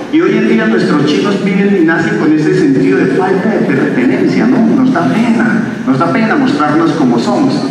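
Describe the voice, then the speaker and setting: A man with a high pitch speaks at a moderate pace with hardly any pauses and very wide pitch swings. Strong room echo and noticeable background noise surround him. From Bogotá, Colombia (south Bogotá). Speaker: stand-up comedian. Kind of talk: stand-up. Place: stage.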